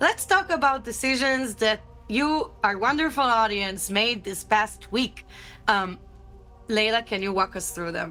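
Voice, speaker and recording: Music plays in the background as a woman with fairly high pitch speaks at a fairly slow pace with lively intonation. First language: not English. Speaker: livestream co-host. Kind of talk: casual chat. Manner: animated.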